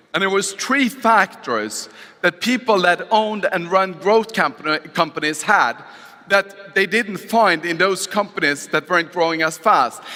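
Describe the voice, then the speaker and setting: A raised, projected voice in a Norwegian accent, fairly slow, with ordinary pitch variation and noticeable background noise. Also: man, high pitch for a man. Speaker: motivational speaker. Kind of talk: motivational talk. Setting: stage with audience.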